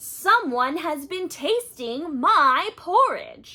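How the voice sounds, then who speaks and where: In a put-on character voice, a woman growls at an extremely high pitch and a very slow pace. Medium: read story.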